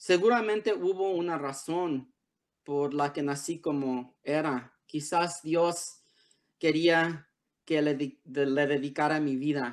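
Speaking at a very slow pace, a man has a fairly high pitch with ordinary pitch variation. The background is quiet. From Los Angeles area, US (born Tijuana, Mexico); Los Angeles. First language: English (speaking Spanish). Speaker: author. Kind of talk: prepared essay read aloud; reading aloud from a book. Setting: video call. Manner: halting, many fillers. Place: home room. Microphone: video call.

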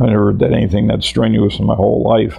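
A man with an American accent and a fairly low pitch, talking very fast over noticeable background noise. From Connecticut, US. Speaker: war veteran. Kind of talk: oral history interview. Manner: hesitant, with many fillers.

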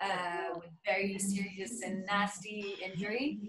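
A woman speaks with a French accent over noticeable background noise. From France. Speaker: musical theatre actress. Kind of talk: casual chat. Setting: video call. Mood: grateful, reflective. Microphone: video call.

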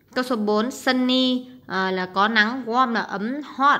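A woman speaks at fairly high pitch. Her tone is bright and sharp. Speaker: English teacher. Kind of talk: tutorial. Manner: hesitant, many fillers.

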